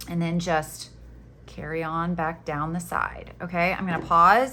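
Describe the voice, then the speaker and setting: A woman's fairly low voice at a fairly slow pace. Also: fairly even intonation. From Florida Panhandle, US South. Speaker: crochet teacher. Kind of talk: tutorial. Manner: casual, chatty.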